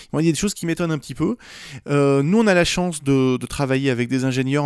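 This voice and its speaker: Very fast speech with ordinary pitch variation in a dry, close sound with no echo. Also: man. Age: 40s. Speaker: AI company cofounder. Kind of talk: casual interview. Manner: halting, many repetitions.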